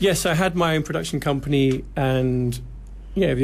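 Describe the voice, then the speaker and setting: With a British accent, a man of medium pitch sounds somewhat breathy, keeping ordinary pitch variation and a moderate pace. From UK. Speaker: TV producer. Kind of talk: radio interview.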